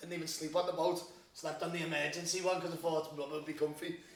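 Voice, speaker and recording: Very fast speech with audible room echo and noticeable background noise. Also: man. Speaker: podcast host. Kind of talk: casual chat.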